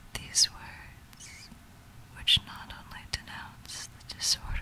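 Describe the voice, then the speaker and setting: The speech is whispered. Noticeable background noise runs underneath. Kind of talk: whispered literary story reading for relaxation.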